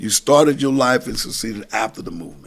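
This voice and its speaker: A man talks with an American accent. His pace is fairly quick and his intonation lively. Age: 60s. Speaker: pastor and council member. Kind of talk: casual chat. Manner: animated.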